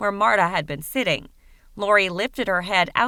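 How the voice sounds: Intonation remains fairly even. The reading voice sounds natural.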